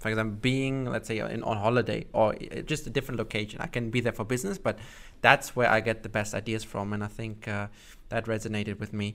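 On a very clean recording with a silent background, a man with a German accent speaks with ordinary pitch variation. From Germany. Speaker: podcast host, marketer. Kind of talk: podcast interview. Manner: hesitant with many fillers.

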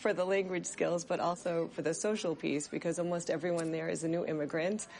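The woman has an unremarkable speaking voice. Her pitch is fairly low, with ordinary variation. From US Northeast, near Boston. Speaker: new immigrant, former school nurse. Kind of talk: interview testimony.

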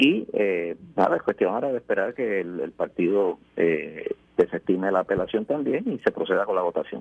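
A man at a moderate pace with hardly any pauses, in a dry, close sound with no echo. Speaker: mayoral candidate. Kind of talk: radio interview.

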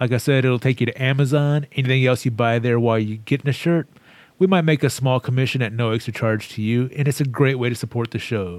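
This man talks at a very fast pace. His voice sits at a medium pitch with ordinary pitch variation. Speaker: podcast co-host. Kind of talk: casual chat. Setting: video call.

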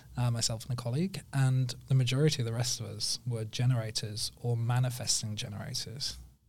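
With an English accent, a man speaks fairly quickly at a medium pitch, his somewhat breathy voice keeping a fairly even intonation with hardly any pauses. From northern England, Sheffield. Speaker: digital marketing agency owner. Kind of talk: casual interview.

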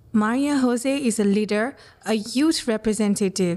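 Her voice is fairly high for a woman, yet it has a dark, mellow tone. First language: Spanish. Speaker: interviewer, communications professional. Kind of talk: interview. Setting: on location.

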